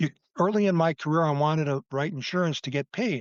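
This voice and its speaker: The delivery is fairly quick, with ordinary pitch variation, in an ordinary speaking voice. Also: man. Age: 60s. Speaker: insurance agent. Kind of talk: interview.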